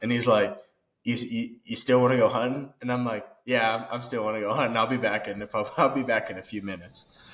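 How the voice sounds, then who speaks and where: A man with an American accent speaks at a fairly quick pace in a medium pitch. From Kansas. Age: 20s. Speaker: outdoorsman podcast guest. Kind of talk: casual chat. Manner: animated.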